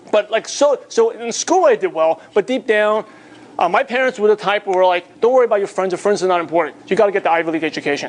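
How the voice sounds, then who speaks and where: Someone with a New York accent talks at a very fast pace, using ordinary pitch variation. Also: man. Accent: New York American English. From New York (Bay Ridge, Brooklyn). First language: Mandarin/Cantonese (learned English alongside Cantonese). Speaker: network marketing trainer. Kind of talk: motivational seminar talk.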